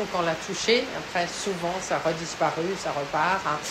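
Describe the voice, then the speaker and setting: A woman's fairly low-pitched voice amid noticeable background noise and audible room echo. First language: not French (speaking French). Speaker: painter. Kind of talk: artist statement. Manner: halting, many hesitations.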